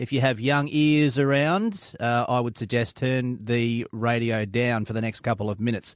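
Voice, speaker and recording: A man with an Australian accent speaks at a medium pitch and a moderate pace, with hardly any pauses. His pitch varies in an ordinary way, and the recording is very clean with a silent background. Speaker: radio host. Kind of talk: breakfast radio chat. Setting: radio studio.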